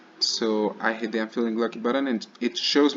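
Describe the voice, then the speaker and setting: A man's speech moves fairly quickly, with noticeable noise in the background. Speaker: student. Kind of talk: screencast demo. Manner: halting, with fillers and restarts.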